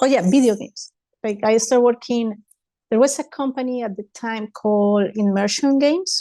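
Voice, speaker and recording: The background is quiet, and the sound is dry and close with no echo. The tone is dark and mellow, with ordinary pitch variation. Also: woman. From Colombia, Bogota. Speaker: 3D animator and digital artist. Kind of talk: casual interview chat.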